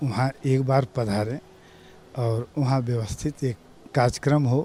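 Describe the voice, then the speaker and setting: Fairly high for a man, this voice has a dark, mellow tone and fairly even intonation. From eastern Uttar Pradesh, Gorakhpur. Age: 60s. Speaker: devotee, school owner. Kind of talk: interview testimony.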